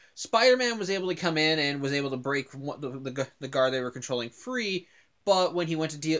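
With lively intonation and a fairly quick pace, a man talks while the background stays quiet. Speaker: cartoon series reviewer. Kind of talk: casual vlog commentary. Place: home room. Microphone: webcam.

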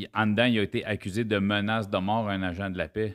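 A man with a Quebec accent, fairly low in pitch, at a fairly quick pace with fairly even intonation, over a quiet background. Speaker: podcast host and comedian; podcast host, comedian. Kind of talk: casual interview. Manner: informal, conversational. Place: studio. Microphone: studio mic.

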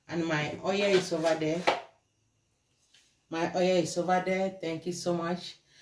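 Background noise is noticeable. The speech moves at a fairly slow pace. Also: woman. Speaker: home cook vlogger. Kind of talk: cooking tutorial chat. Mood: grateful, cheerful. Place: kitchen. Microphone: phone near.

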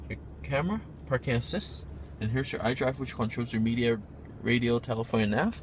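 A man's voice with vocal fry at a moderate pace, light background noise, and a dry sound with no echo. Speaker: car salesperson. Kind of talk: product walkaround tour. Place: shop. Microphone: phone near.

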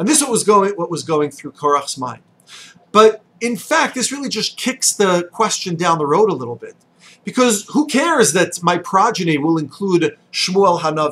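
Moving at a moderate pace, a man's voice swings very widely in pitch. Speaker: religious teacher. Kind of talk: short sermon. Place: office. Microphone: webcam.

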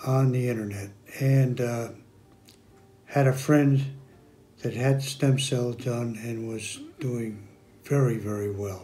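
Music plays in the background as a man speaks very slowly, with long, frequent pauses. His pitch is medium and his intonation fairly even. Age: 70s. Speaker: stem cell therapy patient. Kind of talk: patient testimonial interview answer. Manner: hesitant, many filler words. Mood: calm, satisfied.

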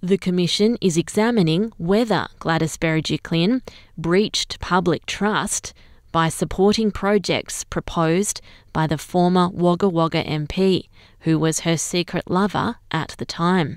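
A woman with an Australian accent, fairly low in pitch, at a fairly slow pace with ordinary pitch variation, on a very clean recording with a silent background. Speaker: newsreader. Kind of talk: news reading, scripted bulletin read at an even, measured pace. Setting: studio. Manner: slow, clear and formal; steady, neutral and unemotional.

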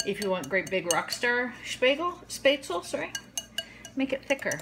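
Woman's voice at a moderate pace with very wide pitch swings, over noticeable background noise. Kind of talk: casual cooking tutorial. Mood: light, self-deprecating humor. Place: kitchen. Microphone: phone near.

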